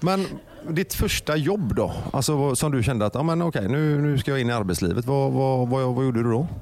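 Using a plain, everyday voice, a man speaks at a fairly quick pace and medium pitch, with very even loudness and lively intonation. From Gothenburg. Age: 40s. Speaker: radio host. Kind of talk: casual chat.

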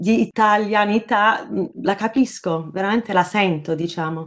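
Against a quiet background, a woman speaks fairly slowly with fairly high pitch and ordinary pitch variation. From Sydney, Australia (born in Naples, Italy). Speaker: journalist. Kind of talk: interview. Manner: halting, many repetitions.

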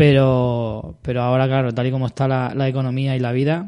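At a fairly quick pace, a man speaks at a medium pitch with a dark, mellow tone. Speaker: podcast host. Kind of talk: casual chat.

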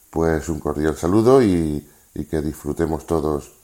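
A man speaks fairly slowly in a very deep, low voice with a dark, mellow tone. The recording is very clean, with a silent background. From Seville, southern Spain. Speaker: listener contributor. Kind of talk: recorded message.

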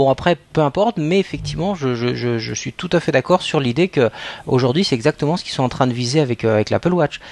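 Dry and close with no echo, a man's fairly high voice rushes at a very fast pace with lively intonation. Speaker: podcast co-host. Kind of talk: casual chat.

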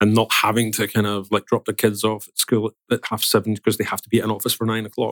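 A man speaks very fast at a fairly low pitch, with hardly any pauses and flat, monotone intonation. The sound is dry and close, with no echo. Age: 40s. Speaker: tech company executive. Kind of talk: interview. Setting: office recording. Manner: hesitant with many fillers.

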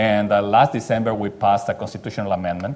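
A man with a Spanish accent talks at a fairly quick pace in a fairly low voice with fairly even intonation. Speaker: Mexican congressman. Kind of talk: panel discussion.

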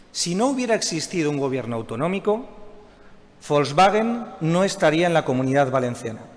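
Over noticeable background noise, a man speaks at a moderate pace in a high pitch with very wide pitch swings. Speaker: regional government minister, economist. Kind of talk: closing speech. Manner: formal.

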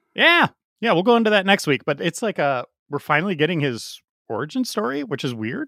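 A man with a bright, sharp tone and a fairly high pitch speaks at a fairly quick pace with very wide pitch swings, recorded very cleanly against a silent background with a dry, close sound and no echo. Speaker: comic book podcast co-host. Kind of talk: casual chat.

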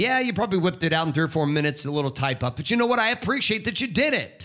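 On a very clean recording with a silent background, a man projects a raised voice with a bright, sharp tone and very wide pitch swings. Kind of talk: pep talk. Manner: fired-up, emphatic, urgent exhortation.

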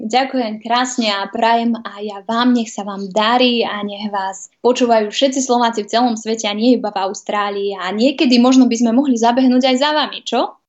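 A woman talks in a plain, everyday voice at a moderate pace, with hardly any pauses. Her pitch is fairly high and her intonation fairly even. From Vojvodina, Serbia (Novi Sad). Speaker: TV presenter and journalist. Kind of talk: interview.

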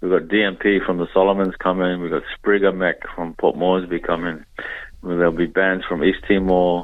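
A man's very deep, low voice in an Australian accent, at a moderate pace with a monotone, flat intonation. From Darwin, northern Australia (Papua New Guinea heritage). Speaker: musician and activist. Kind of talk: radio interview.

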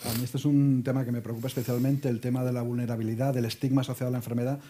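A man's medium-pitched, dark, mellow, somewhat breathy voice at a very fast pace, monotone and flat in intonation, on a very clean recording with a silent background. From Torrejón, Madrid region, Spain. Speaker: health journalist, moderator. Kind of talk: moderated panel discussion.

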